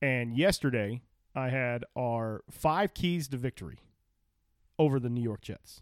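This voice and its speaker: A man with an American accent speaks at a medium pitch and a fairly slow pace, leaving long, frequent pauses and using ordinary pitch variation. The recording is very clean, with a silent background and a dry, close sound with no echo. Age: 30s. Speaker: sports podcast co-host. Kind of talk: casual chat.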